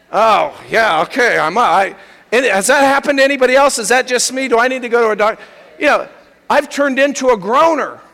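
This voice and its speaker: A man's raised, projected voice at an extremely high pitch and a fairly quick pace. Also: ordinary pitch variation. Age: 50s. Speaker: pastor. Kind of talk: sermon.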